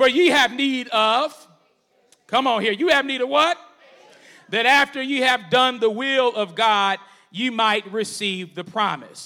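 Raised and projected, a man's extremely high-pitched voice has a bright, sharp, animated tone. He talks at a fairly slow pace with ordinary pitch variation and long, frequent pauses. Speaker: preacher. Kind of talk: sermon. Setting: church. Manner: animated, call-and-response preaching with congregation; conversational, humorous, warm.

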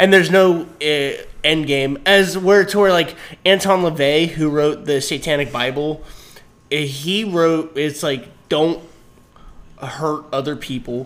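Speaking very slowly, a man with a fairly high voice shows ordinary pitch variation. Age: 30s. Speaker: podcast co-host. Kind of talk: casual chat. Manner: laughs often.

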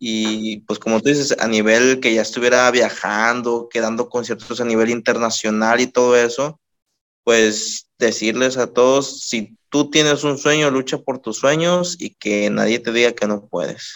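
With a plain, everyday voice, a man speaks at a medium pitch and a fairly slow pace, his intonation fairly even. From Mexico, Colima. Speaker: rapper. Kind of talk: casual interview.

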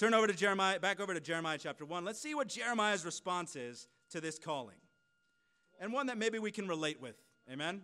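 Loud and projected, a man with an American accent talks at a very fast pace in a high pitch, with a bright, sharp tone and lively intonation. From US West Coast (California). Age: 30s. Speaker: preacher. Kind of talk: sermon. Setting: church service with congregation.

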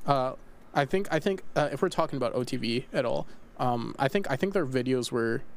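A normal speaking voice with lively intonation. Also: man. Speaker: podcast host. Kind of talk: casual chat.

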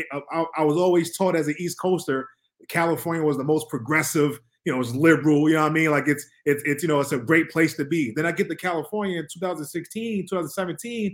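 In a normal speaking voice, a man with an American accent talks at a fairly quick pace, his pitch fairly high and varying in an ordinary way. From Harlem, New York City. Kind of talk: casual discussion.

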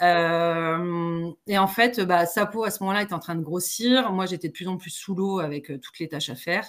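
A woman with a normal speaking voice talks at a moderate pace with hardly any pauses. Her pitch is fairly low with ordinary variation, and her loudness swings widely. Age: 40s. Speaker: entrepreneur. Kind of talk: casual interview.

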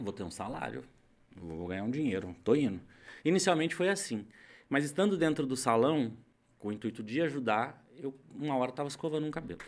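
At a fairly quick clip, a man with a medium-pitched voice and vocal fry swings his pitch very widely. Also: very clean recording, silent background. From São Paulo state, Brazil. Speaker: hairdresser. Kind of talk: casual interview.

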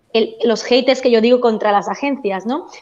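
Pitch variation here is ordinary. The speaker is a woman. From Spain, Barcelona. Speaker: education agent. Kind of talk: panel discussion.

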